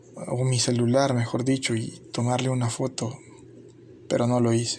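A man speaks fairly slowly at a medium pitch, in a monotone with flat intonation. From El Salvador. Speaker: YouTuber. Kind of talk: scripted narration.

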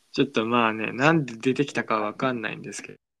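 The man's intonation is fairly even as he talks at a very fast pace. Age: 20s. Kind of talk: casual chat. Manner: playful.

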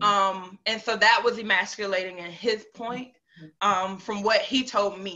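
Her voice is an ordinary speaking voice, as this woman with an American accent talks at a fairly slow pace with a medium pitch and fairly even intonation. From North Carolina, Piedmont area. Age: young. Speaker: entrepreneur and motivational storyteller. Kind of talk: personal life story in interview.

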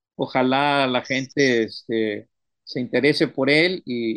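Speaking at a medium pitch, a man holds a fairly even intonation. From Mexico, Tamaulipas (Ciudad Madero). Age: 60s. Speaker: poet. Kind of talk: interview. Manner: halting, many repetitions.

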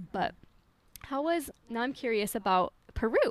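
With an American accent and a fairly high pitch, a woman speaks in an animated tone. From Utah. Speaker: podcast host. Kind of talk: casual interview.

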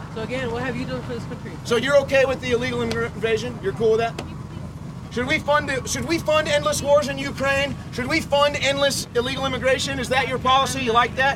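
A man races along at a very fast pace while background noise is noticeable. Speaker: activist commentator. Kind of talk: angry sarcastic street rant. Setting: outdoors at border site, filming on camera. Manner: sarcastic, loud, indignant; mocking, fast-paced, animated.

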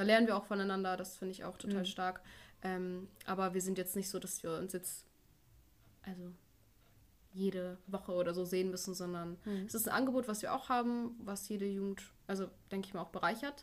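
A woman at medium pitch, fairly quick yet with long, frequent pauses, her intonation fairly even. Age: 20s. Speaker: nursery teacher and church youth co-leader. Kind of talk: casual interview.

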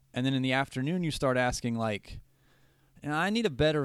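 A man with an American accent and an unremarkable speaking voice talks at a fairly quick pace and medium pitch, in a very clean recording with a silent background. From West Virginia. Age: 30s. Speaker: podcast host. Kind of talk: casual chat.

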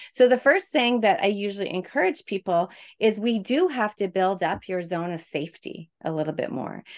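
With an ordinary speaking voice, a woman talks at a moderate pace and medium pitch, her intonation lively. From Quebec, Canada. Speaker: stress and burnout coach, speech pathologist. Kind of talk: podcast interview.

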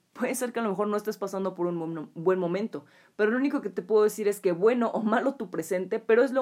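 A very fast, animated woman's voice with a Mexican accent, fairly high in pitch, with lively intonation and hardly any pauses. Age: 20s. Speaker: podcast host. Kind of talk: solo podcast monologue.

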